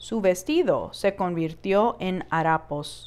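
A woman speaks at a very slow pace in a warm tone. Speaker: educator reading to children. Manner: warm, expressive, child-friendly storyteller pacing; animated, with playful sound effects like 'Puf'.

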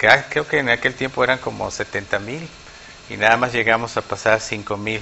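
A man with a normal speaking voice, fairly low in pitch, fairly slow, with fairly even intonation and light background noise. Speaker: guest. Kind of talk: interview answer. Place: studio. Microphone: lapel.

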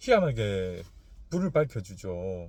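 A man speaks in a somewhat breathy voice with a dark, mellow tone and very wide pitch swings. The recording is very clean, with a silent background. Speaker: fortune teller. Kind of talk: casual lecture. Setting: in a car.

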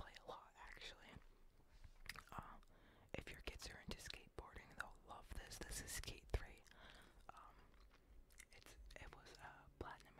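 Whispering at a moderate pace, a man leaves long, frequent pauses while his loudness swings widely. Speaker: ASMR content creator playing a game store clerk. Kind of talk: comedic game store roleplay, casual talk to camera.

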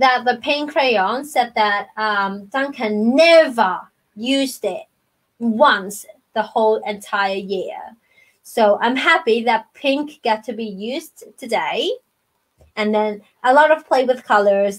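In a quiet background, a woman speaks at a very slow pace. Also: lively intonation. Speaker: storytime host reading to children. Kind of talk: children's storytime chat. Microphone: webcam.

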